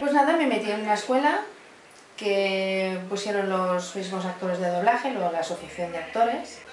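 A woman speaks at medium pitch with ordinary pitch variation and a moderate pace. Audible room echo and light background noise are present. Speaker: voice actress. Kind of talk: interview answer. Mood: relaxed, amused, reminiscing. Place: home room.

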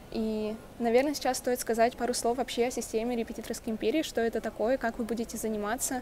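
Over light background noise, a woman talks very fast in a fairly high voice with a dark, mellow tone and monotone, flat intonation. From Russia. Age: young. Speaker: university student. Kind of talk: testimonial. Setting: university building. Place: hall. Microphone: earbuds.

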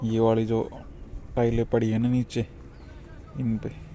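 A man's dark, mellow voice, fairly low in pitch, at a fairly slow pace

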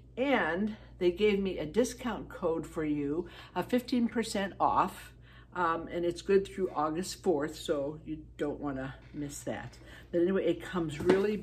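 Against light background noise, a woman with a fairly low voice and vocal fry speaks at a fairly slow pace with lively intonation. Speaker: product reviewer. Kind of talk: casual vlog chat. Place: home room. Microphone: phone near.

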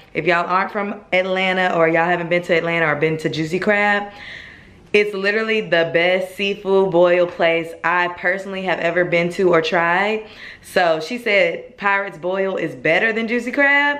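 The woman speaking keeps a moderate pace. Her pitch variation is ordinary. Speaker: vlogger. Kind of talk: casual vlog chat. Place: kitchen. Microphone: phone near.

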